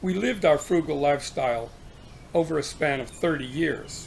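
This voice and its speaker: An American accent colors this man's fairly high pitch and lively intonation. His voice is somewhat breathy, at a moderate pace. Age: 70s. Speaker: retiree sharing financial advice. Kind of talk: informal talk to camera.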